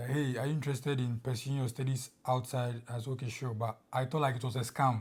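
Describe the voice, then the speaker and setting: Over a silent background in a very clean recording, a man with a Ghanaian accent speaks at a fairly quick pace in a somewhat breathy, medium-pitched voice with monotone, flat intonation. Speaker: international student. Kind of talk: interview.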